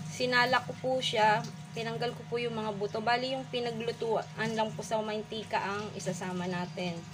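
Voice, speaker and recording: The speaker keeps a moderate pace with ordinary pitch variation. Clear music plays in the background. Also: woman, fairly high pitch for a woman. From Philippines. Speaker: home cook vlogger. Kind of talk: cooking tutorial. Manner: polite, uses po throughout. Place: kitchen. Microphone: phone near.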